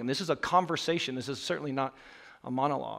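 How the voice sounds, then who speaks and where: A man is speaking. He has an American accent. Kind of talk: sermon. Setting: church. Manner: fast talker.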